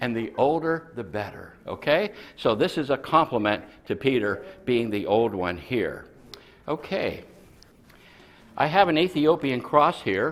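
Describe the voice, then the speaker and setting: This man's voice sits fairly high and swings very widely in pitch, with some vocal fry. He talks at a fairly slow pace and leaves long, frequent pauses. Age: 70s. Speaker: professor. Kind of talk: lecture. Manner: animated.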